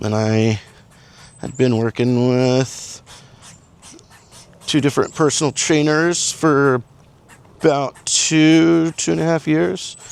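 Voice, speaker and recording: Speaking at a very slow pace with long, frequent pauses, a man uses a fairly high pitch. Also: ordinary pitch variation. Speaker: vlogger. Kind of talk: casual walk-and-talk vlog. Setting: outdoors walking on a trail. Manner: mumbling.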